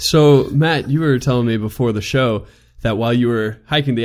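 In a very clean recording with a silent background, a man with a plain, everyday voice speaks at a medium pitch and moderate pace. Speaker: podcast host. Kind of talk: casual chat.

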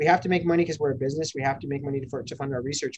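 A man with an American accent talks at a very fast pace. His voice is fairly high and somewhat breathy. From Denver, Colorado (north Denver). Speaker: cannabis company executive. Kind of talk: casual interview. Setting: video call.

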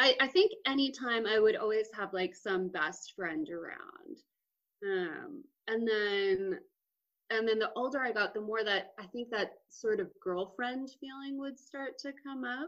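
This woman has a normal speaking voice, fairly high in pitch, with lively intonation. She talks at a fairly slow pace. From Texas, Austin. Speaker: comedian and podcast co-host. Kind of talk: casual chat.

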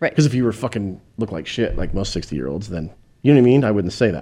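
Talking at a very fast pace, a man with a dark, mellow tone and vocal fry swings his pitch very widely. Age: 50s. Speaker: podcast co-host. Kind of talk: casual chat. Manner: animated.

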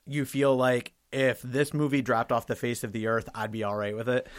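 Here is a man with an ordinary speaking voice. His pitch is medium, with ordinary pitch variation. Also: very clean recording, silent background. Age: 30s. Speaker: film podcast host. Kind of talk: casual chat.

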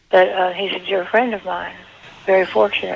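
A woman talks at a fairly low pitch with little pitch movement, vocal fry and a slightly husky edge. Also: moderate pace.

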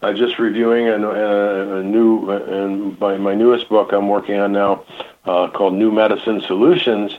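Against noticeable background noise, a man with an American accent speaks at a moderate pace in a fairly low pitch, with monotone, flat intonation. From US Midwest. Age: 70s. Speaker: health practitioner and author. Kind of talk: radio interview. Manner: rambling, halting.

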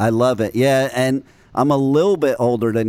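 Over noticeable background noise, a man with a medium pitch speaks at a moderate pace. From New Jersey. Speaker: internet radio host. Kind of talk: radio interview, casual chat. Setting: internet radio studio interview. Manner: animated, enthusiastic.

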